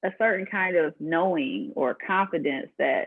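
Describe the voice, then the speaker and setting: A woman is speaking. Her pitch swings very widely. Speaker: podcast host. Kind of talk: podcast host talk.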